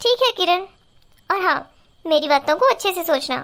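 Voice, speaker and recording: Putting on a squeaky character voice at an extremely high pitch, a woman speaks in an energetic tone at a moderate pace. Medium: cartoon. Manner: frank, energetic.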